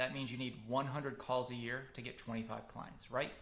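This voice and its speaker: A man's bright, sharp tone carries audible room echo. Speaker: marketing consultant for public adjusters. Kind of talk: webinar lecture. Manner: fast; animated.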